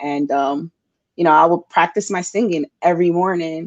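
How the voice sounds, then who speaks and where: A moderate pace with a New York accent. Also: woman. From New York City, Bronx. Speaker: singer-songwriter. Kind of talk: interview. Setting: podcast interview.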